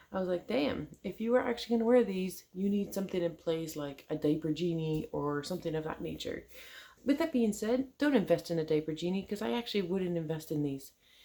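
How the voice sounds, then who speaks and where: Amid noticeable background noise, a woman with a fairly low pitch talks at a fairly quick pace in an animated tone with lively intonation. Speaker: product reviewer vlogger. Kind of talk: casual vlog review. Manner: casual, animated.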